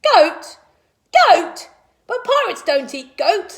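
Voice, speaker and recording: A woman puts on a squeaky character voice at an extremely high pitch. She speaks at a fairly slow pace. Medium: read story.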